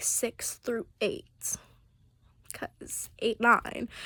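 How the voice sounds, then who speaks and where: Very slow whispering. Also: woman. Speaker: vlogger. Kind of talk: casual storytelling. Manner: rambling with fillers.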